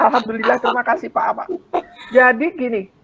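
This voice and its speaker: Ordinary pitch variation in a woman's high voice. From Indonesia. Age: 60s. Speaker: network marketing business member. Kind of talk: testimony. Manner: halting.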